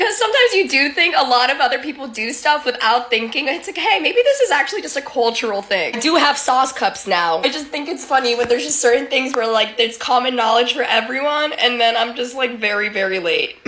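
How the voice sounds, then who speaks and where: With music in the background, a woman with a high voice projects it loudly, talking at a fairly quick pace with hardly any pauses and very wide pitch swings. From US, Colombian immigrant household. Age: 20s. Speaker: social media creator. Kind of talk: casual vlog monologue. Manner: casual, many fillers.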